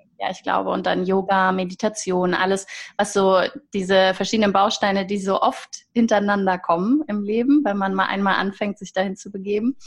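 A woman with an ordinary speaking voice talks at a fairly quick pace in a medium pitch with fairly even intonation. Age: 30s. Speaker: holistic coach. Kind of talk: interview.

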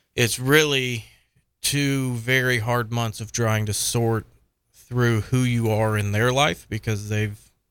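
Man with an American accent and an ordinary speaking voice at medium pitch, moderate pace and fairly even intonation, on a very clean recording with a silent background. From South Florida (Miami-Dade area). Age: 40s. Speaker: law enforcement officer and foster parent. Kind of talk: testimony interview.

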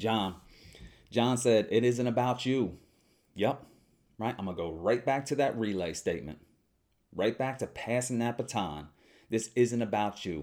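A man talks at a fairly slow pace and a medium pitch, with vocal fry and ordinary pitch variation. Long pauses come often, and the recording is very clean with a silent background. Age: 20s. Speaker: podcast host. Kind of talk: solo monologue reading listener responses. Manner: talkative, casual with fillers.

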